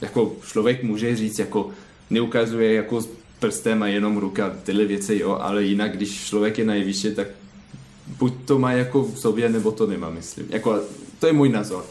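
A man talks at a moderate pace in a fairly low voice. His intonation stays fairly even. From France. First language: French (speaking Czech). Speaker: ballet dancer. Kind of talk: interview. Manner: halting.

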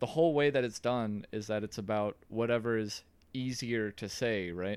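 Speaking in an American accent, the voice is a normal speaking voice. It moves at a fairly slow pace with fairly even intonation. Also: man. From New York. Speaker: podcast host. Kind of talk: casual chat.

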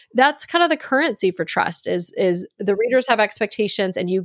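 Her fairly high voice swings very widely in pitch at a moderate pace, and the sound is dry and close with no echo on a very clean recording against a silent background. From US South (Virginia/Texas). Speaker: author and podcast host. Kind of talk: interview.

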